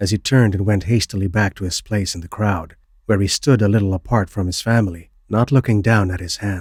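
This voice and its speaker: Speaking at a fairly quick pace, a man with a fairly low, somewhat breathy voice is captured in a very clean, dry, close recording with a silent background and no echo. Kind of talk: horror story narration.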